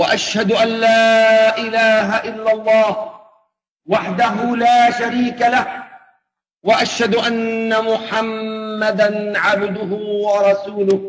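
The delivery is slow and monotone, with flat intonation and a fairly bright tone. Audible room echo surrounds the voice. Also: man, high pitch for a man.

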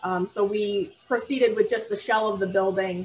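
A woman with an American accent talks at a moderate pace. Light background noise is present. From Michigan, near Toledo; Michigan. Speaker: architect, firm owner; panelist. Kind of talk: panel discussion on video call. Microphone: video call.

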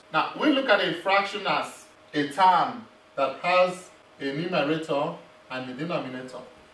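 A man speaks at a fairly slow pace with a high pitch and lively intonation. There is audible room echo. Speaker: math instructor. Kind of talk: lecture. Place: classroom.

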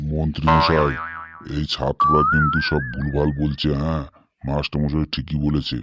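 In a cartoonish character voice, a man speaks with a very deep, low pitch and monotone, flat intonation at a moderate pace. Sound effects play in the background. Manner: steady, matter-of-fact.

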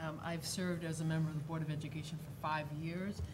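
Against noticeable background noise, a woman with a very deep, low pitch speaks in a flat monotone. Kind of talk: formal meeting statement. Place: hall. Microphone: podium.

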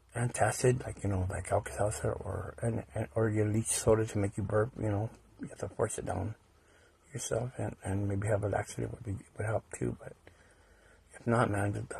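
Vocal fry runs through a man's fairly low voice. His intonation stays fairly even at a moderate pace. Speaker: conspiracy video vlogger. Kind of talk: casual monologue. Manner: halting, many fillers and repetitions.

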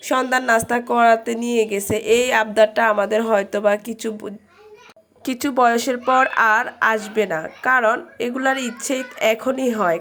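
Over noticeable background noise, a woman speaks at a fairly high pitch with fairly even intonation. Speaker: vlogger. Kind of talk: vlog narration. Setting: restaurant, then outdoors in the city.

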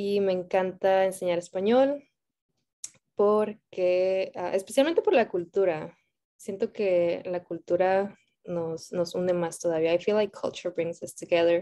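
A dark, mellow tone with fairly even intonation comes through against a quiet background. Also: woman, medium pitch for a woman, moderate pace. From Mexico. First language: Spanish. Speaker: Spanish teacher. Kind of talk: bilingual self-introduction. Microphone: video call.

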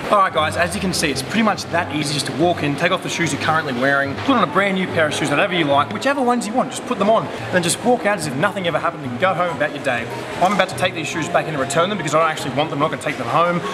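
A man talks at a very fast pace in an Australian accent. Noticeable background noise sits behind him. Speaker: vlogger. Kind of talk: casual talk to camera. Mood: joking, playful. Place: shop. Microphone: phone near.

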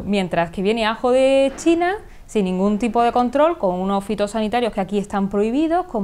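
A woman speaks with lively intonation. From Córdoba province, Andalusia, Spain. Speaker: politician. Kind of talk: interview answer. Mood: firm, critical, assertive. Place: studio. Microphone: lapel.

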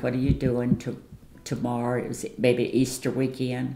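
Fairly slow speech with audible room echo and light background noise. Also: woman. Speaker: grandmother. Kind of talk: interview answer. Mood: warm, nostalgic storytelling. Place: home room.

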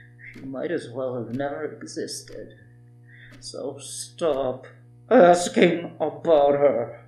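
A woman speaks at a very slow pace. Her pitch is very deep and low. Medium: audio drama. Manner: cold, menacing, contemptuous.

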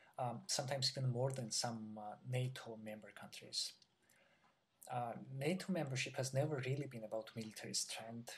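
A man with a Georgian accent speaks at a moderate pace in a somewhat breathy voice with fairly even intonation. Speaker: PhD graduate. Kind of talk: interview answer. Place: home room. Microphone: webcam.

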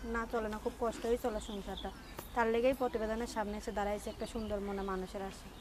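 Over noticeable background noise, a woman talks at a fairly high pitch with monotone, flat intonation. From Bangladesh, Cumilla. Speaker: domestic worker seeking a partner. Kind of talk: street interview.

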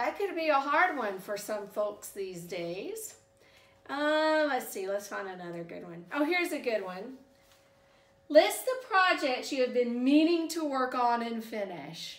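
A woman with a Southern US accent and a high pitch speaks at a fairly slow pace, her voice moving through very wide pitch swings and big swings in loudness, with audible room echo. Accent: Southern American. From US South. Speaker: YouTuber reviewing subscription boxes. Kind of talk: product unboxing review. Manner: casual, conversational. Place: home room. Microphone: camera far.

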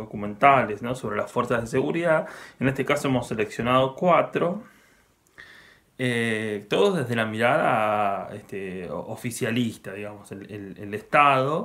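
A man speaks at a fairly slow pace. His pitch shows ordinary variation. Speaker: film museum presenter. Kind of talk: casual spoken film introduction. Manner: hesitant, many fillers. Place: home room. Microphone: webcam.

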